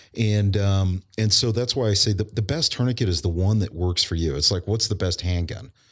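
At a fairly quick pace with hardly any pauses, a man talks in a fairly low, somewhat breathy voice with ordinary pitch variation and very even loudness. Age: 40s. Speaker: emergency preparedness business owner and military veteran. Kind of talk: casual interview conversation. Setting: in-person recording at guest's business.

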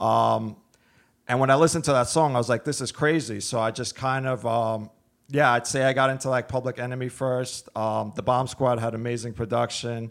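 A man with a New York accent talks at a fairly quick pace in a medium pitch, his intonation fairly even, on a very clean recording with a silent background. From Brooklyn, New York (Brighton Beach). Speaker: audio equipment business owner. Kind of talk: casual interview.

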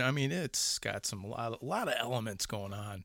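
In a Chicago accent, a man speaks at a moderate pace with a bright, sharp tone and ordinary pitch variation, the recording very clean with a silent background. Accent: Chicago accent, still noticeable. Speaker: horror podcast host. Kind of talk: casual chat.

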